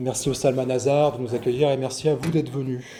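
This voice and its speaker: A man speaks at a medium pitch. Audible room echo and noticeable background noise surround him. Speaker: historical fencing instructor. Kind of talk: lecture. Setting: venue with live audience. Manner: fast; mumbling.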